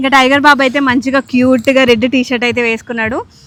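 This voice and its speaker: Over noticeable background noise, a woman speaks in a high pitch with a monotone, flat intonation. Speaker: family vlogger. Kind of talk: casual vlog talk to camera. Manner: like a news reader.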